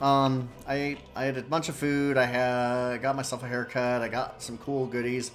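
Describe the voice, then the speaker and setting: With music in the background, a speaker with an American accent talks at a moderate pace with hardly any pauses, in a flat, monotone delivery. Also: man, medium pitch for a man. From US, Denver, Colorado area. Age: 50s. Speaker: video game streamer. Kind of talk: casual gameplay commentary. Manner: casual, hesitant with many fillers.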